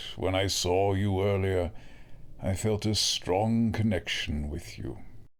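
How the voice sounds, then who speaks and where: Clear background noise sits behind a man's put-on character voice, pitched very deep and low and delivered at a fairly slow pace. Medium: audio drama. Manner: calm, measured.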